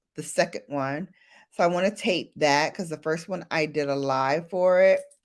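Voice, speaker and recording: On a very clean recording with a silent background, a woman with a very deep, low pitch speaks in an animated tone at a moderate pace with ordinary pitch variation. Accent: American. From Brooklyn, New York, US. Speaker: beauty YouTuber. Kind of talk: casual livestream chat.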